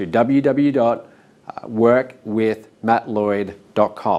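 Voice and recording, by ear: Slow-paced man with a slightly mellow tone and fairly even intonation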